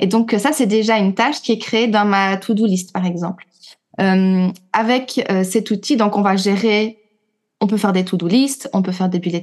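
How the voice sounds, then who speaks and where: At a fairly slow pace, a woman with a normal speaking voice talks with fairly even intonation over a quiet background. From Belgium. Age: 30s. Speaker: teacher and trainer. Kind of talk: casual interview chat.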